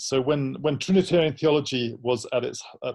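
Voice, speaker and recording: At a moderate pace, a man with an English accent speaks in a dark, mellow tone at a fairly high pitch. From London, England. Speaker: theology professor. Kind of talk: interview.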